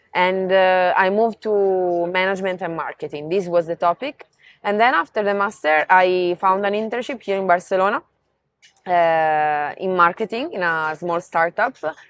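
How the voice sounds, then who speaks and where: In a dry, close recording with no echo and a quiet background, a woman speaks with an Italian accent and ordinary pitch variation. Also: medium pitch for a woman, moderate pace. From Italy, near Venice. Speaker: marketing professional. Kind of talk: interview.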